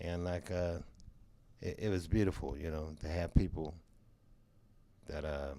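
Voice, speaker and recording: A man with a very deep, low pitch and a dark, mellow tone speaks at a fairly slow pace. His intonation is fairly even, and he leaves long, frequent pauses. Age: 70s. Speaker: jazz drummer. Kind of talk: interview.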